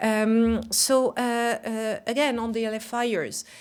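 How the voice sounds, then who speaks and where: A woman speaks with a French accent on a very clean recording with a silent background. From France. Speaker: global company CEO. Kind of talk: conference speech. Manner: halting, many fillers.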